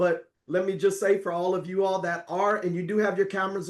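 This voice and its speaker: Noticeable background noise accompanies talking that runs at a fairly quick pace. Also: man. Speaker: network marketing presenter. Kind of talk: sales pitch. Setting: video call. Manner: animated.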